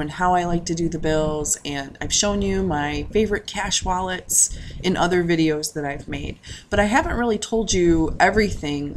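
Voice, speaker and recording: A woman's fairly slow speech over noticeable background noise. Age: 30s. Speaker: personal finance vlogger. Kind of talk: casual vlog monologue. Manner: halting with many fillers.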